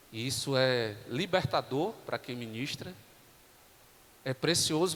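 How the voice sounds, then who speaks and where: Soft-spoken and fairly slow, a man talks at a medium pitch. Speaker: pastor. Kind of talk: sermon. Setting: church.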